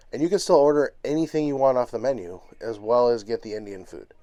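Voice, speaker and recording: With ordinary pitch variation and a moderate pace, a man speaks in a dark, mellow tone. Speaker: travel vlogger. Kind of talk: casual vlog narration.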